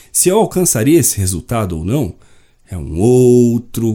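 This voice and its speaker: The recording is very clean, with a silent background. A man talks at a moderate pace in a dark, mellow tone. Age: 40s. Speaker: podcast host. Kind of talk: solo podcast monologue.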